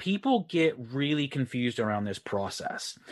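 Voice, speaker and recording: Lively intonation marks a man's speech, delivered at a moderate pace against a quiet background. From Texas. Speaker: online business coach. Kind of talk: interview.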